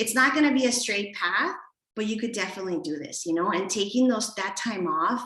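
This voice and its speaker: Over audible room echo, a woman with a fairly high pitch talks at a fairly quick pace with lively intonation. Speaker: premed advisor. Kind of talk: webinar presentation. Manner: fast.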